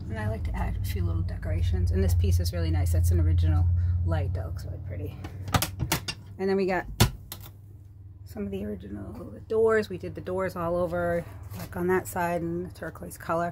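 A woman at a fairly quick pace against loud background noise. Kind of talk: casual vlog chat. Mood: relaxed and proud. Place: home room. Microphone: phone near.

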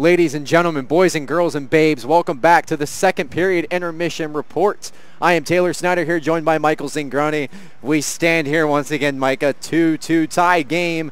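Moderately paced, a man talks at a fairly high pitch. He has a plain, everyday voice. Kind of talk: live sports commentary. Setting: rink broadcast, live game. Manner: upbeat showman tone with quips.

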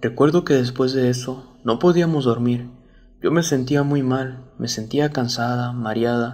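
A man speaks in a plain, everyday voice at medium pitch. His pace is fairly slow and his intonation fairly even. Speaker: storyteller reading a viewer-submitted true story. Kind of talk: ghost story telling, first-person horror narration.

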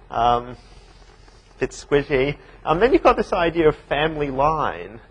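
Speaking at a moderate pace with ordinary pitch variation, a man talks in an Australian accent. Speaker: university lecturer. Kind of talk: lecture. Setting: classroom with small studio audience. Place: classroom.

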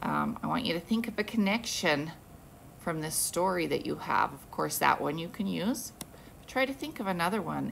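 Light background noise accompanies a woman speaking at a moderate pace. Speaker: teacher. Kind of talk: read-aloud to children. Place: classroom. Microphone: phone near.

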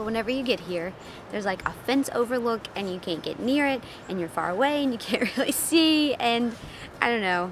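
A woman talks at a fairly quick pace, the sound dry with no echo and with noticeable background noise. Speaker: travel vlogger. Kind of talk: casual vlog chat. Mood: mildly disappointed, candid. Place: open country. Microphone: phone near.

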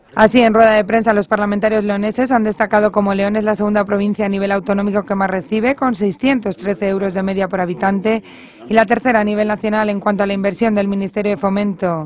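Talking at a very fast pace with hardly any pauses, the speaker comes through over noticeable background noise. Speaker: news reporter. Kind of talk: news reading. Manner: formal, even, measured delivery.

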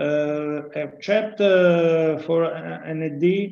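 The speaker has an Italian accent. Audible room echo surrounds the voice. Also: man. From Italy. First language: Italian (speaking Portuguese). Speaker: professor of physics. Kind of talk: lecture. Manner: halting. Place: home room. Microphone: webcam.

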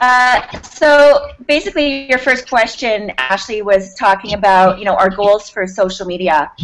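The pace is fairly slow as a woman speaks. Her pitch variation is ordinary. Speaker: guest. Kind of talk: interview answer. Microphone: video call.

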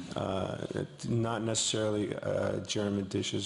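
A man's speech carries audible room echo. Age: 50s. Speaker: actor. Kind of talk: press conference answer. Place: hall. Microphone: podium.

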